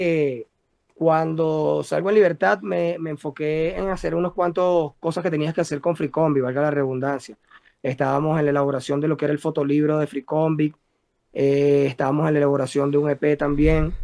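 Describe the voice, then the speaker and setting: Heard over a quiet background, a man with a Caracas Venezuelan accent speaks at a moderate pace in a dark, mellow tone with a fairly high pitch. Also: ordinary pitch variation. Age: 40s. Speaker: rapper; interviewee. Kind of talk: interview. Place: home room. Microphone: video call.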